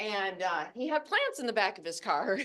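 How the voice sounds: A woman speaks loudly at a medium pitch and moderate pace, her fairly bright voice making big pitch swings.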